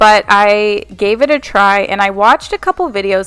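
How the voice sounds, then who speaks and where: This woman has an ordinary speaking voice, a medium pitch and an American accent. She talks at a moderate pace with ordinary pitch variation, and the sound is dry and close with no echo. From Texas, Houston. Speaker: cleaning vlogger. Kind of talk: casual voiceover chat. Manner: casual, filler-heavy.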